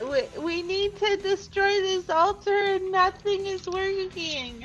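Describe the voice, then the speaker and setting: Shouting in a put-on character voice, the speaker hits an extremely high pitch at a fairly slow pace. Clear music plays in the background. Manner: yelling.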